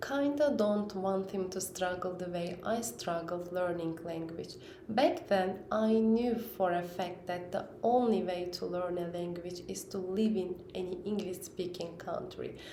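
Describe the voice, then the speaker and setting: In a Turkish accent, a woman speaks at a fairly slow pace, with audible room echo and noticeable background noise. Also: medium pitch for a woman, ordinary pitch variation. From Turkey. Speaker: parent vlogger. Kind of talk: personal vlog talk. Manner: halting, with fillers.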